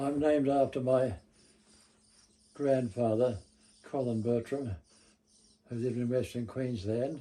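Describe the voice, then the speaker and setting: A man with an Australian accent talks at a fairly slow pace, using long, frequent pauses. His voice sits at a medium pitch with a dark, mellow tone and fairly even intonation. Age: 90s. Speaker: local history interviewee. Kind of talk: oral history interview.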